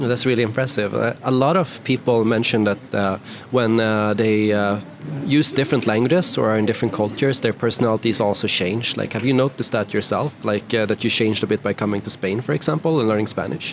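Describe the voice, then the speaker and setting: With music in the background, a man with a Swedish accent talks at a very fast pace. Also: medium pitch for a man, ordinary pitch variation. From Sweden. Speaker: YouTube interviewer. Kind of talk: casual interview.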